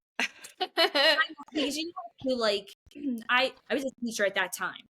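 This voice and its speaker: Speaking in a Philadelphia accent, a woman uses a raised, projected voice with a high pitch, a fairly slow pace, lively intonation and an animated, bright, sharp tone. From South Philadelphia. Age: 30s. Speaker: runner and mother. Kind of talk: casual chat. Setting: podcast recording.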